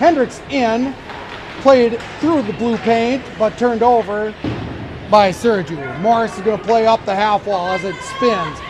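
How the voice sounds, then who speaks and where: A voice with an American accent comes through with audible room echo and noticeable background noise. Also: man. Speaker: amateur play-by-play announcer. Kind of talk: live commentary. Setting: ice arena. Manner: loud.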